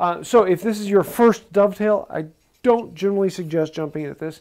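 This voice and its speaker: A man talks fairly quickly. Little can be heard behind him. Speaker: woodworking instructor. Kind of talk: tutorial. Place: workshop. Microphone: lapel.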